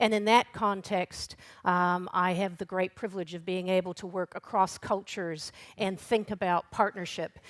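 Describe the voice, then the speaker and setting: A woman's plain, everyday voice with a North American accent, medium pitch, fairly even intonation and moderate pace, dry and close with no echo on a very clean recording with a silent background. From Canada and the United States. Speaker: regional council chief executive, workshop moderator. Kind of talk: conference workshop presentation. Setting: conference workshop with audience.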